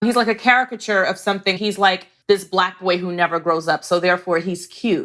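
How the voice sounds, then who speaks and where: Speaking at a fairly quick pace, a woman with a New York accent keeps her intonation fairly even. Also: medium pitch for a woman, hardly any pauses. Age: 40s. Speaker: podcast host. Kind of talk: interview conversation.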